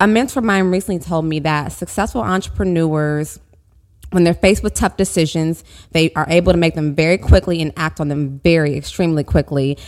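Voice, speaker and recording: Moving at a fairly quick pace, a woman with an American accent speaks in a normal speaking voice at a fairly low pitch. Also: ordinary pitch variation. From Oklahoma, US (Tulsa). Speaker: publicist and agency owner. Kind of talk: interview.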